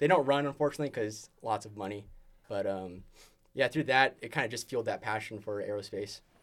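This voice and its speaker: Here is an ordinary speaking voice from a man with an American accent. He talks at a fairly quick pace with ordinary pitch variation. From California, Bay Area (San Jose). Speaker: engineering student team lead. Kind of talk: casual interview chat.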